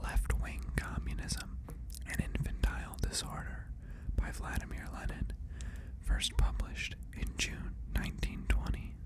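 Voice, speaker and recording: Someone whispers at a fairly slow pace with noticeable background noise. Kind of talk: ASMR reading of political text. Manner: whispered.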